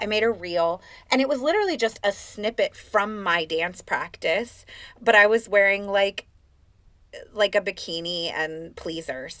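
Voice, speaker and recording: A woman with an American accent speaks at a medium pitch and a fairly slow pace, with a bright, sharp tone and ordinary pitch variation. The recording is very clean, with a silent background. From US West Coast, Oakland. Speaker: life and business coach, dancer. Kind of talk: casual interview chat.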